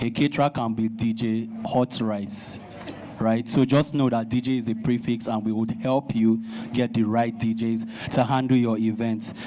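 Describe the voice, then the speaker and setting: A man speaks at a moderate pace in a medium pitch, his intonation flat and monotone, with noticeable background noise behind him. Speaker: DJ, association representative. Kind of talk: speech at a town hall meeting.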